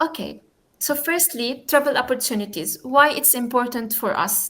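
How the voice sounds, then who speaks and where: A woman with an Arabic accent talks at a moderate pace, her high pitch showing ordinary variation. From Jordan. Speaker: youth community founder and guest speaker. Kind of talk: online talk. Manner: halting, with frequent fillers.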